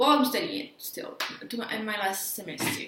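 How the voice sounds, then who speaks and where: Audible room echo and noticeable background noise surround a woman's speech. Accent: Quebec French. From Quebec, Montreal. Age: 20s. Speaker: sound engineering student. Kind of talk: casual vlog. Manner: halting.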